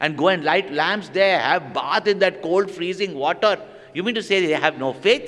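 A man's high voice with ordinary pitch variation. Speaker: spiritual teacher. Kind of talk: religious discourse to an audience. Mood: animated, with humor. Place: hall. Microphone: studio mic.

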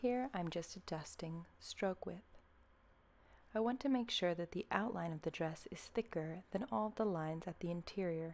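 A soft-spoken woman talks at a moderate pace. Her pitch is fairly low, and her intonation is lively. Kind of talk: ASMR tutorial narration.

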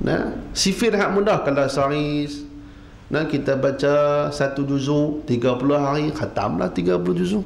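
Amid audible room echo, a man speaks very slowly in a fairly high pitch, with very wide pitch swings and very even loudness. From Penang, Malaysia; Malaysia. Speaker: religious teacher. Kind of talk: sermon. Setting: mosque with live audience. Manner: animated. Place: church. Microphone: podium.

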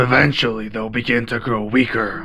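A man's medium-pitched voice, fairly even in intonation and menacing in tone, with clear music in the background. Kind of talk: ASMR roleplay. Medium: audio drama. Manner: cold, menacing, contemptuous.

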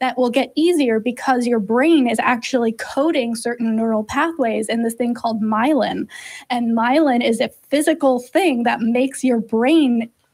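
With a quiet background behind her, a woman speaks at a high pitch and a moderate pace, using ordinary pitch variation. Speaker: co-host of call-in show. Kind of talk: explanatory answer to a caller. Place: studio. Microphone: studio mic.

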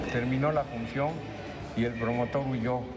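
A man talks fairly quickly while clear music is heard behind his voice. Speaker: boxing trainer. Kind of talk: interview answer. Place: gym.

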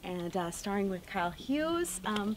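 A woman at a moderate pace, with light background noise. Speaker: actor being interviewed. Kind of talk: interview answer. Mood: cheerful, excited, laughing. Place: hall. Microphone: handheld.

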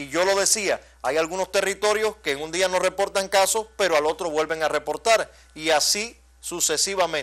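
A man with a high pitch and ordinary pitch variation talks at a moderate pace over a quiet background. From Cuba. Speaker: TV news host. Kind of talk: TV news magazine presenting. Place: studio.

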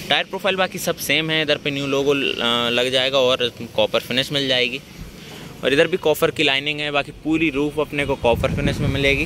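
The sound is dry with no echo, and a man talks with fairly even intonation over noticeable background noise. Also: moderate pace. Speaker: car vlogger. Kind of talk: casual car walkaround commentary. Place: street. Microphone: phone near.

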